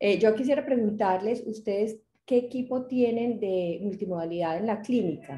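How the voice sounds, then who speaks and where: A woman with a Medellín accent talks at a moderate pace and fairly high pitch, with ordinary pitch variation. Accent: Medellín (paisa). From Medellín, Colombia. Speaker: retina specialist, lecturer. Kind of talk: lecture.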